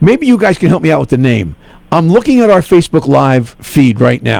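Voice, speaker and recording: With a New York accent, a man with a fairly high pitch moves at a fairly quick pace through very wide pitch swings. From New York (Bronx). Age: 60s. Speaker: radio host. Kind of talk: casual chat.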